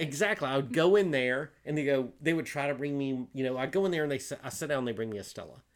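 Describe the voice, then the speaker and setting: Barely pausing, a man with a Southern US accent talks very fast with ordinary pitch variation. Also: fairly high pitch for a man. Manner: casual, rambling, lots of fillers.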